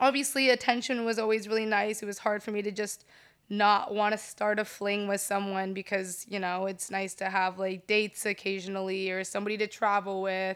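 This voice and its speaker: On a very clean recording with a silent background, a woman speaks at a medium pitch. Her pace is fairly quick and her intonation monotone and flat. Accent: American. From Southern California. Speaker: DJ and model. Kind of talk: casual interview.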